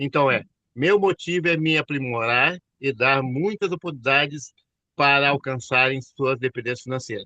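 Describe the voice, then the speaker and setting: This man has a fairly high voice with a bright, sharp tone. He talks at a moderate pace with ordinary pitch variation, and the sound is dry and close with no echo. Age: 60s. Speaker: network marketing consultant. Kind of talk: online class discussion.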